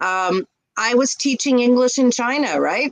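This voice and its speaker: A woman speaks at a moderate pace with a Canadian accent and lively intonation. It is a normal speaking voice. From Canada, English-speaking Quebec near Montreal. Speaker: ESL teacher and online business owner. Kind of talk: casual interview on a livestream. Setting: live video stream.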